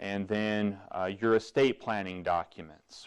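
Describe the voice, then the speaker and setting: With an American accent, a man speaks at a fairly slow pace. His pitch is fairly low and his intonation fairly even. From Southwest Colorado. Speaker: estate planning attorney. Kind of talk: informational talk. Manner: halting with fillers.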